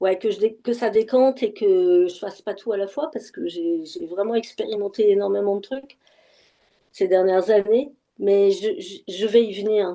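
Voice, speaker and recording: A woman's voice at medium pitch with ordinary pitch variation and a fairly slow pace. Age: 60s. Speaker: session participant giving testimony. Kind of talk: casual conversation. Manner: halting, many repetitions and fillers.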